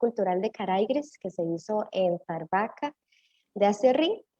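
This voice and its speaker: Speaking at a fairly slow pace, a woman uses a fairly high pitch, lively intonation and a dark, mellow tone, recorded with a dry, close sound with no echo. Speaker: municipal cultural manager. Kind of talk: panel discussion.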